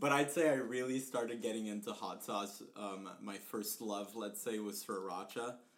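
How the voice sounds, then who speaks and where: A man's fairly low voice with ordinary pitch variation, at a moderate pace with hardly any pauses, over noticeable background noise. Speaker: podcast co-host. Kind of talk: casual chat.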